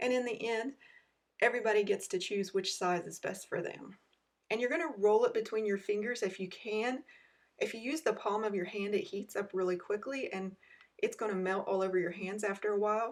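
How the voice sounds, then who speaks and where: A woman with a fairly high pitch and ordinary pitch variation talks at a fairly quick pace in an ordinary speaking voice. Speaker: cooking video host. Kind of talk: tutorial.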